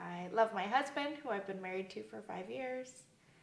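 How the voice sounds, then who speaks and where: Her pace is fairly slow and her intonation lively, at a medium pitch for a woman. Audible room echo and noticeable background noise surround the recording. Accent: American. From US Southwest, Arizona. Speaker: church member. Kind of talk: interview. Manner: casual with many fillers.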